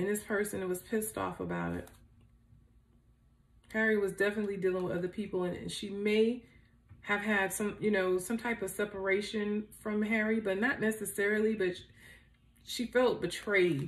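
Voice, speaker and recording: A woman speaks in a monotone, flat intonation at a moderate pace. Long pauses come frequently. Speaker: tarot reader. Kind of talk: tarot reading commentary. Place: home room.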